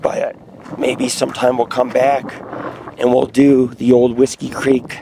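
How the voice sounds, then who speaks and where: The speaker is a man, heard over noticeable background noise. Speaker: outdoor vlogger, bigfoot hunter. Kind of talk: casual vlog narration while hiking. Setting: outdoors on a hiking trail.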